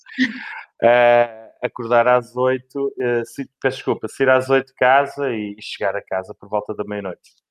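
A man with a Lisbon accent speaks at a fairly slow pace and medium pitch, with fairly even intonation. His loudness swings widely, and he hardly pauses. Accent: European Portuguese, Lisbon. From Portugal, Lisbon. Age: 40s. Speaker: outsourcing manager. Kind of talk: interview. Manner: talkative.

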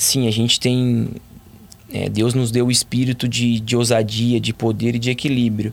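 A man's medium-pitched, monotone voice with flat intonation at a moderate pace. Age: 30s. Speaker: professional footballer. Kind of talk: interview testimony.

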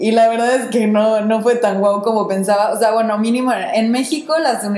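Amid noticeable background noise and audible room echo, a woman speaks at a fairly quick pace. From Mexico. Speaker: podcast co-host. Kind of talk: casual chat.

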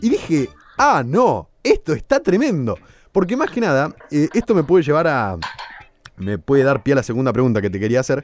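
A man with a fairly high voice speaks at a moderate pace, his pitch swinging very widely. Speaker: radio host. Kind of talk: radio interview.

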